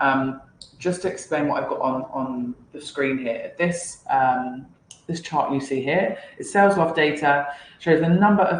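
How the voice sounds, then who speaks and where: A woman's very deep, low voice at a moderate pace, with ordinary pitch variation and audible room echo. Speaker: sales team leader. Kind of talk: lecture.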